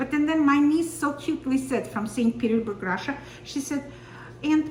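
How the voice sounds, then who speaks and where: A high-pitched woman with an Armenian accent and ordinary pitch variation, amid audible room echo and noticeable background noise. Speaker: podcast co-host. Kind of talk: casual chat.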